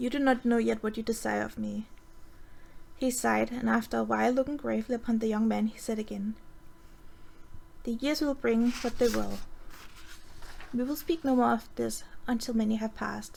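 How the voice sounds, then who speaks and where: A woman with a Danish accent at a fairly quick pace, broken by long, frequent pauses. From Denmark. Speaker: amateur reader. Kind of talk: fantasy story reading. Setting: voice chat.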